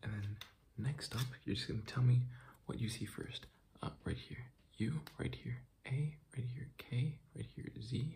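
Light background noise sits behind a man whose voice has vocal fry, ordinary pitch variation and big swings in loudness. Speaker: ASMR creator doing a medical roleplay. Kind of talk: fast ASMR roleplay addressed to the viewer. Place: home room. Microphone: phone near.

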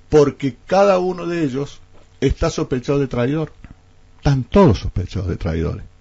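A somewhat breathy man's voice with very wide pitch swings over a quiet background. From Argentina, San Luis province (Villa Mercedes); San Luis province, Argentina. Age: 60s. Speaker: politician. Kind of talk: radio interview. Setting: radio studio. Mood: critical, argumentative. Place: studio. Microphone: studio mic.

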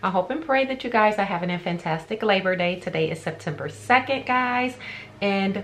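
With lively intonation and a moderate pace, a woman talks while light background noise sits behind her. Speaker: beauty vlogger. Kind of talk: casual vlog chat. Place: home room. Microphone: phone near.

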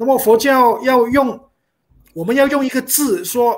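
The recording is very clean, with a silent background. A man speaks at a moderate pace in an extremely high pitch, with ordinary pitch variation. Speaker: panel speaker. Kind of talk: panel discussion.

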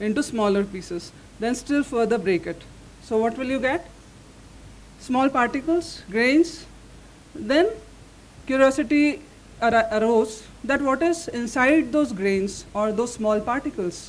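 Pausing long and often, a woman speaks in a high pitch with lively intonation. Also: fairly slow pace. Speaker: speaker. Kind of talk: lecture.

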